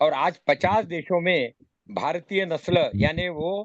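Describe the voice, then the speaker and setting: A man speaks with a high voice. His pitch varies in an ordinary way. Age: 70s. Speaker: meeting moderator, cow-protection activist. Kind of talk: online meeting discussion.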